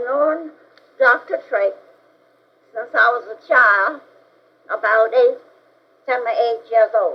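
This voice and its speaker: A woman with a Texas accent speaks very slowly at a high pitch with ordinary pitch variation, leaving long, frequent pauses. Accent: Southern US (Texas). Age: 80s+. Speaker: retired educator and civil rights activist. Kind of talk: interview answer.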